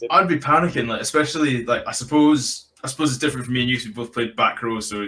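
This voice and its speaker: A man in a Scottish accent talks at a very fast pace, medium in pitch with ordinary pitch variation. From rural Scotland. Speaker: podcast host. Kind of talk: podcast interview. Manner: casual.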